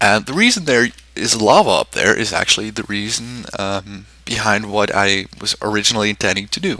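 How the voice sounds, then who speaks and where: With a German accent, a man talks at a moderate pace in a fairly low pitch, with fairly even intonation and hardly any pauses. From Switzerland. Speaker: game content creator. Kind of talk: gameplay commentary. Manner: hesitant, many fillers.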